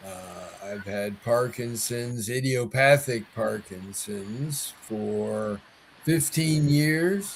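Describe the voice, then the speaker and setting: A somewhat breathy man's voice at medium pitch, very slow in pace, with lively intonation. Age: 70s. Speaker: Parkinson's advocate, patient ambassador. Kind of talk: casual chat.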